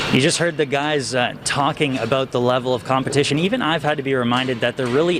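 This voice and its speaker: Noticeable background noise sits under a man talking at a very fast pace. His medium-pitched voice keeps a fairly even intonation. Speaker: sports reporter. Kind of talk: live TV field report.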